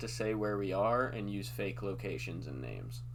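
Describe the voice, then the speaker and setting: A fairly low-pitched man with a bright, sharp tone and very wide pitch swings, in a Midwestern accent. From US Midwest. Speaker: podcast host. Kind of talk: casual chat.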